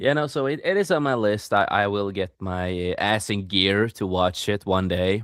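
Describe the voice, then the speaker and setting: Barely pausing, a man with a non-native accent speaks at a fairly low pitch with ordinary pitch variation. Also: moderate pace. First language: not English. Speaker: podcast host and author. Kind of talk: casual chat.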